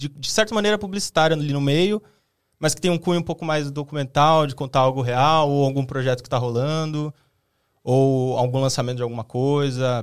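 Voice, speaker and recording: The recording is very clean, with a silent background. A man speaks at a moderate pace in an ordinary speaking voice with a fairly high pitch. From Brazil, Osasco (São Paulo). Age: 20s. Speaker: video content creator. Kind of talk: casual chat.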